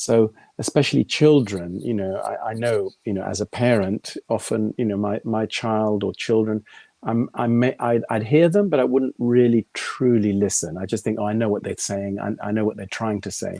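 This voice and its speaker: A man's fairly low voice in a dark, mellow tone at a moderate pace, dry and close with no echo. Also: ordinary pitch variation. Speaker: qigong teacher and company founder. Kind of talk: interview conversation.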